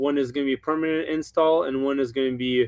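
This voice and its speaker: A man with a slight Ukrainian accent speaks at a fairly high pitch in a monotone, flat intonation. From Ukraine. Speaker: Christmas light installer. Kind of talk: live webinar interview. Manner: slower, hesitant.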